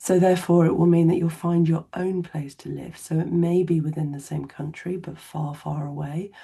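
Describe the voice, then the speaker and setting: At a moderate pace, a speaker with an English accent talks in a somewhat breathy voice of dark, mellow tone, with fairly even intonation. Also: woman. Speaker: therapist. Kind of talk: educational talk to camera.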